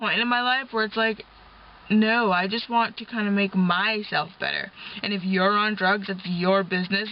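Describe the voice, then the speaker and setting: Mumbled speech at a moderate pace. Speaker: vlogger and taxi driver. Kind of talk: casual vlog while driving. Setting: in a car. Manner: mumbling.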